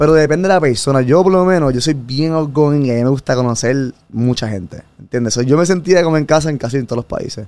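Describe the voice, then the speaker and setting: His pitch is fairly high and varies in an ordinary way. The man talks very fast. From Puerto Rico. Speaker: former engineer, digital nomad traveler. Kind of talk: casual interview chat. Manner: animated.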